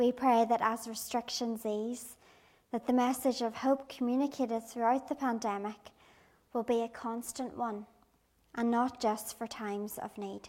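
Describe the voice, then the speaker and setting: At a moderate pace, a woman speaks in a fairly high, monotone, flat voice. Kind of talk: children's talk and prayer. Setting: church.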